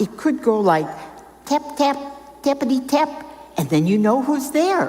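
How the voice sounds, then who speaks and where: A woman's high voice with very wide pitch swings at a fairly slow pace, amid noticeable background noise. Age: 80s+. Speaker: volunteer storyteller and reading helper. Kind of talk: storytelling to children.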